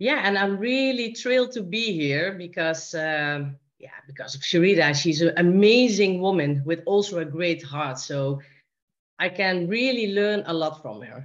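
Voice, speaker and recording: At a fairly slow pace, a woman with a Dutch accent speaks in a fairly low pitch, her intonation lively and her loudness swinging widely. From Netherlands, Helmond. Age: 50s. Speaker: guest. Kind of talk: radio interview. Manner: halting.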